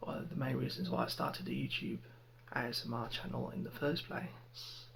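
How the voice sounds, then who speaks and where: Over noticeable background noise, a soft-spoken man talks in a calm tone. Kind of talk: ASMR ramble to camera. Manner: soft-spoken, calm.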